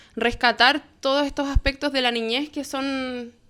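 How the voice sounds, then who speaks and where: This is a woman's voice. Her pitch is high. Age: 20s. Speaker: board game designer, philosophy graduate. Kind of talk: casual chat.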